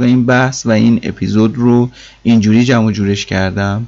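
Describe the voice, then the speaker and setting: A man's normal speaking voice at medium pitch, moderate pace and fairly even intonation. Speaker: tech podcast host. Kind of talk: solo podcast monologue.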